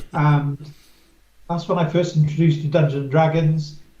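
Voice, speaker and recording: The voice has an English accent and a dark, mellow tone, somewhat breathy. The intonation is monotone and flat, with audible room echo. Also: man. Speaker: wargaming venue owner. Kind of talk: casual interview.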